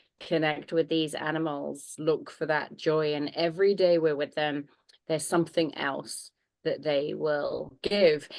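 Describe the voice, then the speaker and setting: A woman with a British accent speaks at a fairly slow pace in a very deep, low pitch, her intonation monotone and flat. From Germany (British family). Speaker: horse trainer and animal communicator. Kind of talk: interview. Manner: warm.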